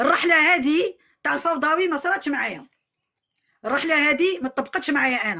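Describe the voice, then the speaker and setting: A woman's raised, projected voice, high-pitched, bright and sharp in tone with ordinary pitch variation. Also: moderate pace. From Algeria, Algiers. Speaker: vlogger airing a grievance. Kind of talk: complaint testimony to camera. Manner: repetitive, emphatic.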